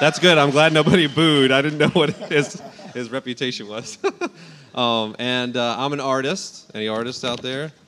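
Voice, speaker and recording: A man's medium-pitched voice at a moderate pace, ordinary pitch variation, and noticeable background noise. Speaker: artist and art teacher. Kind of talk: panel discussion. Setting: stage with audience. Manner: loud, projecting voice.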